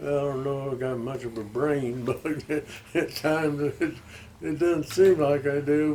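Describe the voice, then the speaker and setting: Over noticeable background noise, a man with a fairly high pitch talks at a fairly slow pace with ordinary pitch variation. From Arkansas (Stuttgart). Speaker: retired aircraft worker, interviewee. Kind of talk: casual interview chat. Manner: halting.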